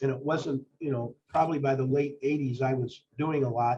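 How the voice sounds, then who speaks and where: Somewhat breathy and at a moderate pace, a man speaks at a fairly high pitch with fairly even intonation. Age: 70s. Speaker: lawyer and mediator. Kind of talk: interview. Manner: halting.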